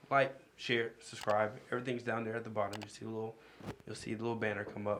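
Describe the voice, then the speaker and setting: A man talks very fast at a medium pitch, with noticeable background noise behind him. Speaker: podcast co-host. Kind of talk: casual podcast chat. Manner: animated.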